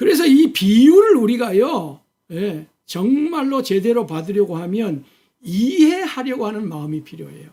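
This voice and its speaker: A man with a high pitch and dark, mellow tone speaks at a fairly slow pace, his pitch swinging very widely. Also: big swings in loudness. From Korea, Jeolla region. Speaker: pastor. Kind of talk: sermon. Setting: church, early morning service video.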